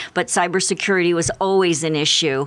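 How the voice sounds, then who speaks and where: A woman speaks in an American accent at a fairly low pitch. Her pitch varies in an ordinary way. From Philadelphia area, US. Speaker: business and cybersecurity lawyer. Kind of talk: radio interview.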